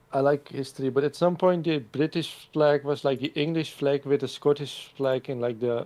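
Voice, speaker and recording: A man with a Dutch accent speaks at a moderate pace in a fairly high pitch, his tone dark and mellow against a quiet background. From Netherlands. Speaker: streamer. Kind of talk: casual chat.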